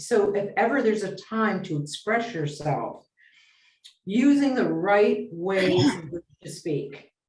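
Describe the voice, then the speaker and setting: At a fairly slow pace, a woman talks in a medium-pitched, somewhat breathy voice with lively intonation and big swings in loudness. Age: 70s. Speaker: business consultant. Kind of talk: interview.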